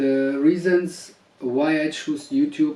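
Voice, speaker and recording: Noticeable background noise is audible throughout. Through it, a man talks at a very slow pace. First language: not English. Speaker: husband making a public statement. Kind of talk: personal video statement. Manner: hesitant, many fillers.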